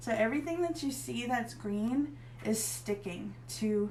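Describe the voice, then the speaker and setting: A woman speaks with an American accent. There is audible echo in the room. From northern Pennsylvania, US (Erie). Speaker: craft tutorial host. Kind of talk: tutorial. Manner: casual, chatty.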